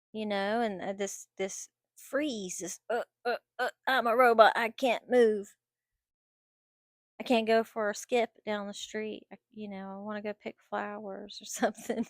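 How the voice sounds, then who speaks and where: With a very clean recording, a silent background and a dry, close sound with no echo, a woman speaks fairly slowly at a fairly high pitch in monotone, flat intonation. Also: big swings in loudness. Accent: American. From North Carolina. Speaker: vlogger. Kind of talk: personal vlog monologue. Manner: halting, many fillers and repetitions.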